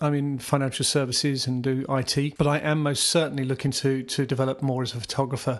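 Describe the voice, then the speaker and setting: A fairly high-pitched man at a fairly quick pace against a quiet background. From southeast England (Surrey). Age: 50s. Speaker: podcast host, aspiring photographer. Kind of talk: casual solo monologue. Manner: informal, halting with fillers.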